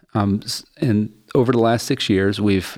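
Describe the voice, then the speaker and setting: A normal speaking voice comes from a man who talks fairly low and with fairly even intonation, captured in a very clean recording where the background is silent. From US, West Virginia (Appalachia). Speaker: social enterprise CEO. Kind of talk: interview.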